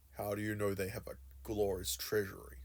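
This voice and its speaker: Using a put-on character voice, a man talks at a fairly quick pace with a fairly low pitch. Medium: solo performance.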